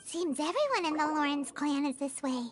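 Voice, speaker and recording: Over clear music in the background, someone uses a put-on character voice pitched high. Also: moderate pace. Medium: video game.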